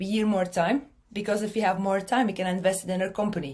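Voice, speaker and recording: In a Belgian accent, a woman speaks fairly quickly at a medium pitch, somewhat breathy. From Belgium. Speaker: marketing speaker. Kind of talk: conference talk.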